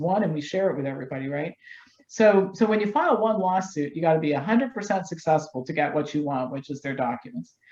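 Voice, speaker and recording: At a very fast pace, a woman with an American accent talks in a fairly low pitch and a dark, mellow tone. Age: 60s. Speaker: health doctor and activist. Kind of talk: interview. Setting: studio.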